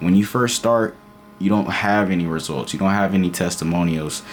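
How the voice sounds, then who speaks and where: Noticeable background noise sits behind the voice. The pitch varies in an ordinary way. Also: man. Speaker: motivational vlogger. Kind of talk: motivational talk to camera. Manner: casual, repetitive fillers.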